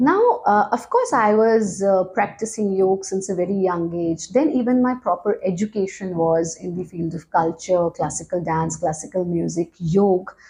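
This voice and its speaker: Someone with an Indian accent talks at a moderate pace with hardly any pauses, and there is noticeable background noise. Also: woman, medium pitch for a woman, ordinary pitch variation. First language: Hindi. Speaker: yoga teacher. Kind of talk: interview.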